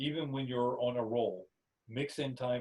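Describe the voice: Fairly even intonation in plain reading aloud, quiet in the background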